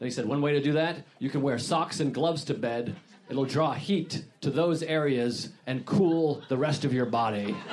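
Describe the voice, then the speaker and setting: With an American accent and a fairly high pitch, a man speaks at a moderate pace with ordinary pitch variation, very even loudness and hardly any pauses, against noticeable background noise. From Massachusetts. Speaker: comedian. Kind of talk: casual chat.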